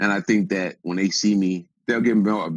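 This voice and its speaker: A man talks at a fairly quick pace in a fairly low voice with an American accent. It is an unremarkable speaking voice over a quiet background. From Wisconsin, Racine area. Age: 30s. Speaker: rapper. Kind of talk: interview conversation.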